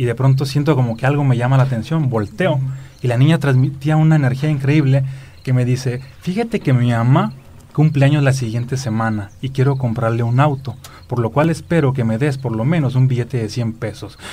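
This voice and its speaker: Somewhat breathy and dark, mellow in tone, the voice moves at a fairly quick pace with fairly even intonation. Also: man, medium pitch for a man. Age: 30s. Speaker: spiritual speaker and author. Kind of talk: interview.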